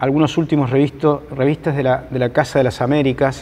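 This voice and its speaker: This man's voice is fairly high-pitched. He talks at a moderate speed. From Argentina. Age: 60s. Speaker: sociologist and journalist. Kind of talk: lecture. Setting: hall with live audience. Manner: halting, many fillers.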